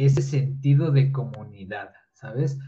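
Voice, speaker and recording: Speaking at a very slow pace, a man with a fairly high pitch has a dark, mellow tone and a somewhat breathy voice, with audible room echo. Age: 20s. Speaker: engineering student and content creator. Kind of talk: casual interview.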